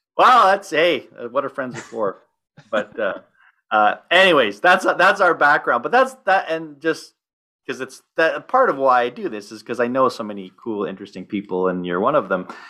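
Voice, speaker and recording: A man with a fairly high pitch speaks at a moderate pace, using very wide pitch swings and some vocal fry. His tone is bright and sharp in a very clean recording with a silent background. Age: 50s. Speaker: podcast host. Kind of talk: casual chat.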